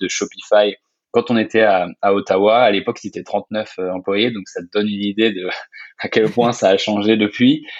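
A man's monotone, flat intonation. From France. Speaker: software company co-founder. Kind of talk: interview. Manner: hesitant, many fillers.

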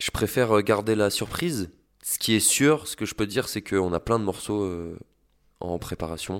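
Recorded very cleanly against a silent background, a man with an ordinary speaking voice talks at a moderate pace and fairly low pitch, with ordinary pitch variation. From Brest, Brittany. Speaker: musician. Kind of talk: interview.

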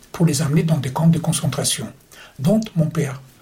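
Pitch variation here is ordinary. Noticeable background noise runs underneath. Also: man. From Austria (Vienna). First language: German (speaking French). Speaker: Holocaust survivor and war veteran. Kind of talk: testimony. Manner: halting.

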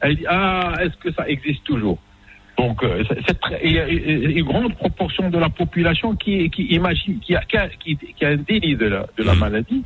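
Over noticeable background noise, a man speaks at a high pitch and moderate pace. His pitch swings very widely while his loudness stays very even. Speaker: general practitioner. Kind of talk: interview.

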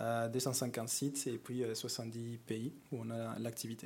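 In a Mexican accent, a dark, mellow voice is heard with audible room echo. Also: man. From Mexico. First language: Spanish (speaking French). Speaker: corporate climate manager. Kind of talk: conference presentation. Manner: hesitant, many fillers.

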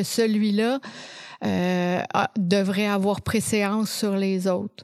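In a Quebec accent, a woman speaks at a very slow pace and medium pitch with fairly even intonation, the sound dry and close with no echo on a very clean recording with a silent background. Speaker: occupational therapist and professor. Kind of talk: interview.

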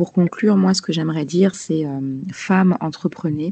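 In a dry, close sound with no echo, a woman speaks with a fairly low pitch, a dark, mellow tone and ordinary pitch variation. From Paris region, France (Malian family). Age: 30s. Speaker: nurse and health entrepreneur. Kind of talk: interview.

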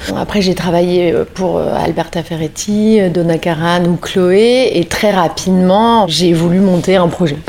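Over noticeable background noise, a woman talks at a very slow pace with hardly any pauses, her fairly low pitch held in fairly even intonation. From northern France, Lille. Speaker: fashion brand founder. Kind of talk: interview. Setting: at home.

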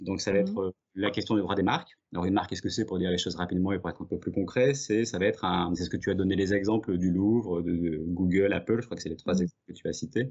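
Ordinary pitch variation marks a man's speech at a fairly low pitch. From southeastern France, Drôme. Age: 40s. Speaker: intellectual property lawyer. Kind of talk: interview. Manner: hesitant, many fillers.

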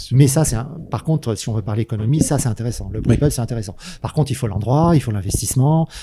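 A man talks at a very fast pace in a medium pitch with ordinary pitch variation. His voice is somewhat breathy, with a dark, mellow tone. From southern France, Manosque. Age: 50s. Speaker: microbrewer. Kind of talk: casual chat.

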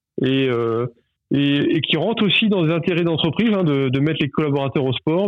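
This man talks at a fairly quick pace, his fairly high voice showing ordinary pitch variation. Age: 30s. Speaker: volleyball club general manager, former pro player. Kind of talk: interview. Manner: hesitant, many fillers and repetitions.

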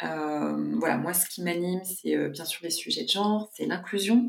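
A woman at a very slow pace. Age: 40s. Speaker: social entrepreneur. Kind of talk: interview.

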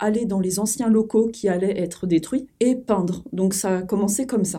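A dark, mellow tone with fairly even intonation. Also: woman. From France, small village. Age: 30s. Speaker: graffiti artist. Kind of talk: podcast interview.

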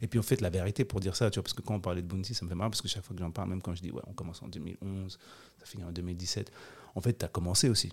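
Talking at a very fast pace, a man with a very deep, low pitch sounds somewhat breathy and shows ordinary pitch variation. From Switzerland, Geneva. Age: 40s. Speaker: documentary director and producer. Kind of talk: casual interview.

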